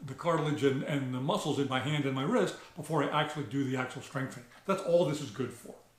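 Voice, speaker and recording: A man with ordinary pitch variation, amid audible room echo and noticeable background noise. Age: 60s. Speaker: shooting channel host. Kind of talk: tutorial. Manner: halting, many fillers.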